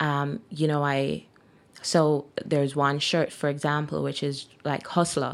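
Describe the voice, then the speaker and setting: This woman's voice is very deep and low. Her intonation is monotone and flat. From Jamaica. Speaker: entrepreneur, clothing boutique owner. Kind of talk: casual interview.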